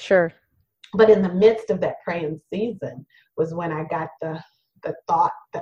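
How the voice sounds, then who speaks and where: Somewhat breathy and dark, mellow in tone, the voice moves at a fairly slow pace. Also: woman. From Louisiana, Cajun area (Thibodaux). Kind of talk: interview conversation.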